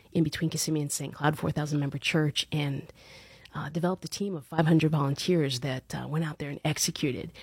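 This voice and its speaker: In an American accent, a woman speaks with a very deep, low pitch, a monotone, flat intonation and a somewhat breathy quality, recorded with a dry, close sound and no echo. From Long Island, New York, then Central Florida from age 12. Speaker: leadership coach and event organizer. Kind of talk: podcast interview.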